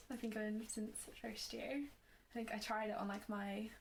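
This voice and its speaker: A woman with a Northern Irish accent speaks at a fairly high pitch in a monotone, flat intonation. Room echo can be heard. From Northern Ireland and Malawi. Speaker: nursing student. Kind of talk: casual podcast interview.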